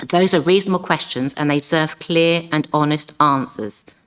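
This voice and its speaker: An unremarkable speaking voice: a woman talks at a fairly quick pace with ordinary pitch variation on a very clean recording with a silent background. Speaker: local councillor. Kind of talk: council debate speech. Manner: formal.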